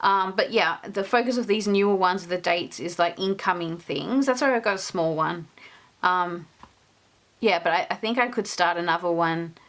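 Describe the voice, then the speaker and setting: A medium-pitched woman's voice with an Australian accent. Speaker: stationery and journaling youtuber. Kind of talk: casual show-and-tell flip-through. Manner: casual, many filler words.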